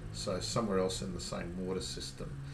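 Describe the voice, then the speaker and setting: A man with an Australian accent over light background noise. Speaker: kayak fishing youtuber. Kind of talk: casual tutorial to camera. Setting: outdoors on a kayak. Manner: hesitant, many ums and repeats. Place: home room.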